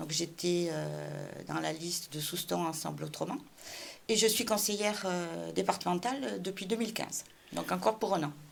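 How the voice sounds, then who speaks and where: A woman's fairly low voice with vocal fry, moderate in pace, with ordinary pitch variation. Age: 60s. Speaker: local politician, municipal candidate. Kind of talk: interview. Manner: hesitant, many fillers.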